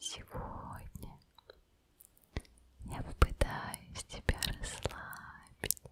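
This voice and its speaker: A woman whispering in a gentle tone at a very slow pace, with long, frequent pauses and noticeable background noise. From Udmurtia, Russia. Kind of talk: ASMR trigger words for sleep. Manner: whispered, soft, gentle.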